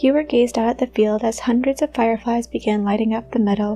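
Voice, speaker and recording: With music in the background, a soft-spoken woman with a fairly high pitch talks at a fairly quick pace. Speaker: storyteller. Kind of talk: bedtime story reading. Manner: soft-spoken, quiet.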